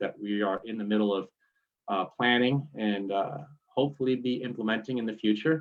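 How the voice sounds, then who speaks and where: Speaking at a medium pitch, a man talks in a New York accent. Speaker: forest service staff. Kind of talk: presentation.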